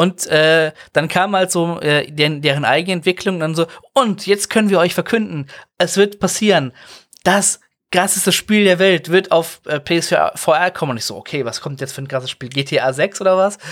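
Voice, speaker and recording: A high-pitched man at a moderate pace with ordinary pitch variation, in a very clean recording with a silent background. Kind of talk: casual chat.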